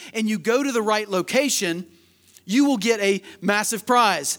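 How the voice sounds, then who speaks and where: A man speaks loudly at a high pitch with ordinary pitch variation. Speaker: pastor. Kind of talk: sermon. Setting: church; stage with audience.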